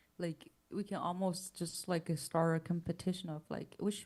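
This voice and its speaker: A soft-spoken, somewhat breathy woman, fairly low in pitch, at a moderate pace. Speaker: music composition teacher. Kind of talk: livestream chat. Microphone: far from the mic.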